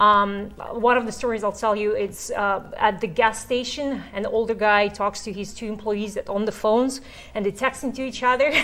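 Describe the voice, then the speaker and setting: A woman with a non-native accent, a bright, sharp tone and fairly high pitch, fairly even intonation at a moderate pace. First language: not English. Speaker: real estate course instructor. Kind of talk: instructional talk. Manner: conversational.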